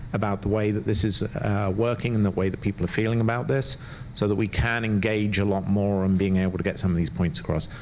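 The delivery comes at a very fast pace with fairly even intonation. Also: man. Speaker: public commenter, local parent. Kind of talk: public comment at school board meeting. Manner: soft-spoken; hesitant, many fillers.

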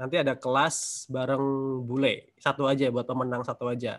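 This man talks at a fairly quick pace. His intonation is monotone and flat against a quiet background. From Indonesia. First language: Indonesian. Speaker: webinar host and language tutor; webinar host, language tutor. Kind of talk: webinar moderation. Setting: video call. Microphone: video call.

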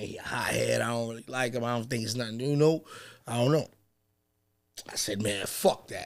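A man with an American accent at a fairly quick pace, fairly even intonation, and long, frequent pauses. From New York City, Harlem; New York City. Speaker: battle rapper; podcast guest. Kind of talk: casual chat. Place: studio. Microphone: studio mic.

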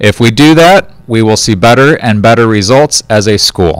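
Recorded dry with no echo against a quiet background, a man speaks at a fairly low pitch with lively intonation. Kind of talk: school announcement address. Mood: upbeat, encouraging. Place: studio. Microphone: handheld.

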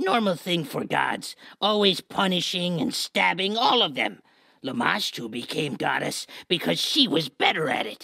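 In a put-on character voice, the speaker holds a middle pitch at a moderate pace. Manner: broken, clipped speech.

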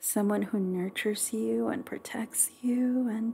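Gentle, dark and mellow, a woman's somewhat breathy voice sits at a fairly high pitch and moves at a fairly slow pace. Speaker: ASMR creator. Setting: close-mic studio recording. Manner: soft, slow, gentle and nurturing, with affectionate pet names and giggles.

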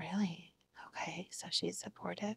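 Whispering at a moderate pace, a woman uses a soothing, gentle tone. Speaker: ASMR roleplay student therapist. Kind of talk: ASMR roleplay, soft whispered therapy session. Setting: video, roleplay session with listener as the patient. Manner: soft-spoken, soothing, gentle and reassuring, with repeated praise. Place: home room.

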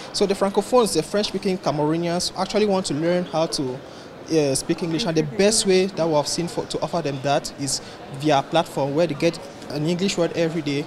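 Against noticeable background noise, a man talks at a high pitch with ordinary pitch variation. His pace is fairly quick. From Cameroon. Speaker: tech startup founder. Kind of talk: interview. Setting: tech conference. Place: hall.

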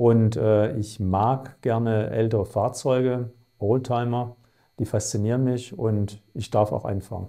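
A man with a dark, mellow tone speaks very slowly with fairly even intonation over a quiet background. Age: 50s. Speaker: chief surgeon. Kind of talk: self-presentation for clinic video. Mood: calm, professional. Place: office. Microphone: lapel.

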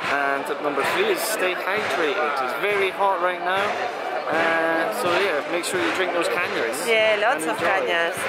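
Loud background noise is present. A woman speaks at a fairly slow pace with ordinary pitch variation. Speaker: travel vlogger. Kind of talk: casual vlog chat. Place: market. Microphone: phone near.

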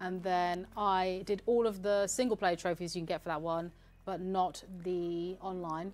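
The speech comes at a moderate speed and keeps its intonation fairly even. It is a plain, everyday voice. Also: woman. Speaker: community manager and game streamer. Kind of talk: casual gameplay livestream chat. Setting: studio livestream.

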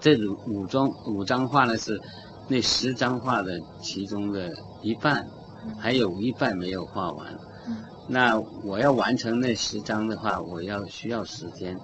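A man speaks slowly at a fairly low pitch, with ordinary pitch variation. He leaves long, frequent pauses over light background noise. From China. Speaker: painter. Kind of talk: interview. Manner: halting. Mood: calm, reflective. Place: studio. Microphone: studio mic.

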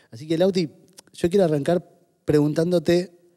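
The background stays quiet. A man talks in a dark, mellow tone. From Argentina. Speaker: podcast co-host. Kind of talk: casual chat. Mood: warm, affectionate. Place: studio. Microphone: studio mic.

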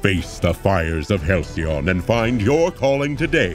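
Very wide pitch swings over clear background music, with a dry sound and no echo. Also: man. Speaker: voice actor. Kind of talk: video game trailer read. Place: booth. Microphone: studio mic.

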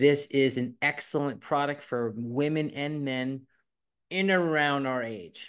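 A man has an unremarkable speaking voice, fairly high-pitched with ordinary pitch variation. He talks at a fairly slow pace against a quiet background. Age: 50s. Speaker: guest promoting health products. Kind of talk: product promotion. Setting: video call. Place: home room. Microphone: video call.

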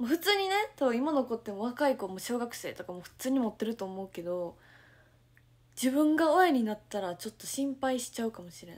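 Speaking in a Kansai accent, a woman sounds animated at a fairly quick pace, with a high pitch, very wide pitch swings and big swings in loudness. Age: 20s. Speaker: idol livestreamer. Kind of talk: casual livestream chat reading viewer comments. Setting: at home, morning livestream. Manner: animated, frequent laughter. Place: home room. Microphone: phone near.

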